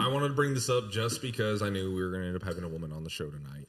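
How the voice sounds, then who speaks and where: A man with a Texan accent swings his pitch very widely, with audible room echo around him. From Texas, San Antonio. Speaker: podcast host. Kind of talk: casual chat.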